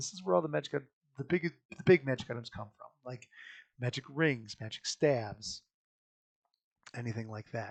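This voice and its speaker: This man talks at a fairly quick pace with lively intonation, and the sound is dry and close with no echo. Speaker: game designer explaining rules. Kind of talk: tutorial. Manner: fast; animated.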